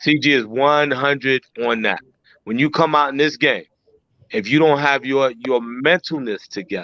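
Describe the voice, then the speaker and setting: A man with a normal speaking voice, a fairly high pitch, ordinary pitch variation and a moderate pace. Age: 60s. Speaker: truck driver. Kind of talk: casual chat.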